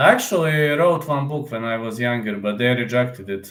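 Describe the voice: A man speaks at a fairly slow pace in a fairly bright tone. Audible room echo surrounds his voice.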